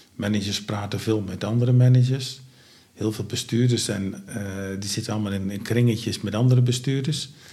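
Audible room echo surrounds a man whose somewhat breathy, dark, mellow voice sits at medium pitch, moving at a fairly quick pace with fairly even intonation. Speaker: founder of a home care organisation. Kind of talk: interview. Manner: halting, many filler sounds.

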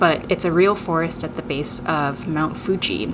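Against noticeable background noise, a woman with a very deep, low pitch and an American accent talks with ordinary pitch variation. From Tokyo, Japan, then Seattle from age eight. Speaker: playwright. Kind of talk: interview.

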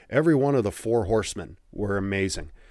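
Against a silent background in a very clean recording, a man speaks in a plain, everyday voice with ordinary pitch variation. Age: 40s. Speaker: wrestling podcast host. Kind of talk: solo podcast monologue. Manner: casual, conversational.

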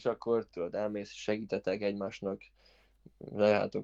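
Over a quiet background, a man delivers his words in a fairly low pitch with monotone, flat intonation. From Hungary. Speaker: former college tennis player. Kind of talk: interview.

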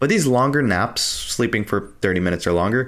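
Talking at a fairly quick pace, a man with a medium pitch uses very wide pitch swings. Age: 30s. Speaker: health and fitness podcast host. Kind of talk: scripted narration.

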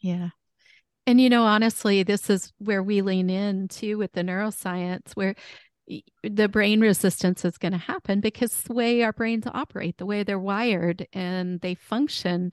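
A woman with an ordinary speaking voice talks at a moderate pace and medium pitch, with a dry, close sound, no echo and a quiet background. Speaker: podcast co-host and neuro coach. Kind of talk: casual interview chat.

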